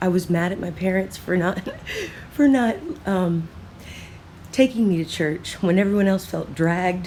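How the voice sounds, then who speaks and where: A woman's voice at a medium pitch. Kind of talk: free-flowing thought monologue.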